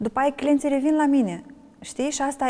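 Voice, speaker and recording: Ordinary pitch variation in a Moldovan accent, over noticeable background noise. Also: woman. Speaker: wine ambassador and blogger. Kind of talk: interview.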